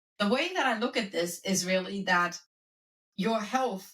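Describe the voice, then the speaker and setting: Speaking with a German accent, a woman keeps a medium pitch with ordinary variation. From Germany. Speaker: wellness coach and professor. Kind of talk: podcast interview.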